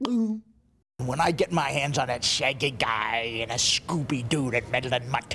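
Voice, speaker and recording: A put-on character voice at a low-to-middle pitch, fairly slow in pace with hardly any pauses. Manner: villainous, angry, threatening.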